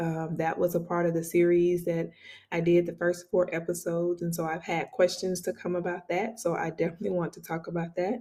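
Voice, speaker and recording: A woman talks softly at a fairly quick pace. Her tone is dark and mellow, with a fairly low pitch. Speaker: podcast host. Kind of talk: casual monologue. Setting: home studio. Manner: soft-spoken; rather quiet.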